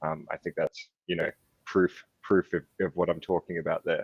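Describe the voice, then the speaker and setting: Heard over a quiet background, the voice has an Australian accent and a dry, close sound with no echo. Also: man. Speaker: youth mental health advocate. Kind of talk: panel discussion. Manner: fast; hesitant, many fillers.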